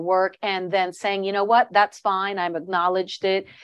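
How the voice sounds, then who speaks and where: A woman speaks at a moderate pace with a medium pitch. She has an ordinary speaking voice. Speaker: podcast host. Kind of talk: interview.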